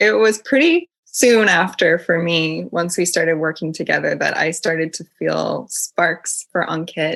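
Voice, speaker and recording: Here a woman speaks with an American accent at a fairly slow pace. She uses hardly any pauses. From United States. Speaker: podcast guest, graduate student. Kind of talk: casual interview chat.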